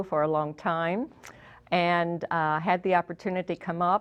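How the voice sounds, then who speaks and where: At a moderate pace, a woman with a fairly low pitch and fairly even intonation speaks in an unremarkable speaking voice. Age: 60s. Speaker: customer giving testimonial. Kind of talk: testimonial.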